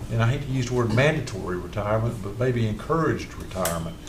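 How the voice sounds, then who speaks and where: A man with an American accent speaks at a very fast pace and medium pitch. Noticeable background noise and audible room echo are present. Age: 60s. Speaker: county commissioner. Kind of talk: budget meeting discussion. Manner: halting, many repeated words.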